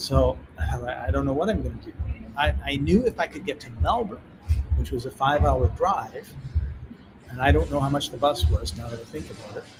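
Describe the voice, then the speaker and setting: Over background music, a speaker with a Canadian accent talks at a fairly quick pace, with long, frequent pauses and big swings in loudness. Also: man. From Canada. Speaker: author and speaker. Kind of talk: storytelling in an interview. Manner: conversational, animated.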